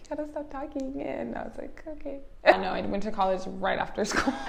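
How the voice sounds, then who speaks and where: Audible room echo follows a woman who speaks at a moderate pace. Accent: Californian. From Los Angeles, California. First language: American Sign Language. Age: 20s. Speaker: interviewee sharing personal story. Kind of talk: interview. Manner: casual, many fillers.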